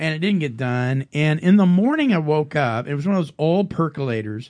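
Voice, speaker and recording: A man speaks at a moderate pace in a plain, everyday voice, his fairly high pitch carried by lively intonation over a quiet background. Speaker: recovery radio show co-host.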